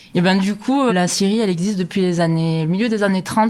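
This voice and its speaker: The speaker is a woman. Her voice rises and falls with ordinary variation. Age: 30s. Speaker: sawmill owner. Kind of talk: interview. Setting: at home next to the sawmill. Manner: hesitant, many fillers.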